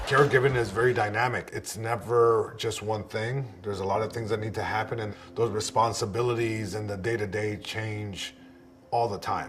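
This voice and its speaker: In a somewhat breathy voice, a man speaks at a moderate pace and a medium pitch, his intonation monotone and flat. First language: Spanish. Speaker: stand-up comedian and caregiver. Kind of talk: interview testimony.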